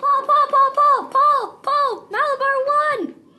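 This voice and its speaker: A woman's squeaky, put-on character voice at an extremely high pitch and a fairly slow pace. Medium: puppet show. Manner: easygoing, fatherly.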